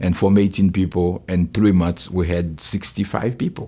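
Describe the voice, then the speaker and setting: A man speaks with a Haitian accent at a moderate pace. His pitch shows ordinary variation. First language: Haitian Creole. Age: 60s. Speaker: pastor. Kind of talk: testimony.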